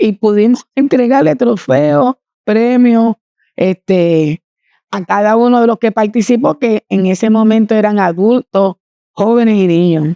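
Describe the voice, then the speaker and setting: A woman's dark, mellow tone at a fairly high pitch, with lively intonation, a fairly slow pace, very even loudness, and a dry, close sound with no echo. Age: 70s. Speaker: community volunteer. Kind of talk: interview testimony.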